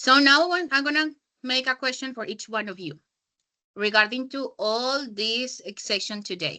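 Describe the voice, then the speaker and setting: In a raised, projected voice with a bright, sharp tone and a high pitch, a woman speaks at a moderate pace with lively intonation and big swings in loudness. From Colombia. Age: 20s. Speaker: English teacher. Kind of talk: online class teaching.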